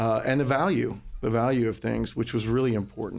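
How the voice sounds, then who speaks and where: A normal speaking voice from a man at medium pitch and a moderate pace, on a very clean recording with a silent background. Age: 40s. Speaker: antiques dealer. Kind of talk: casual chat.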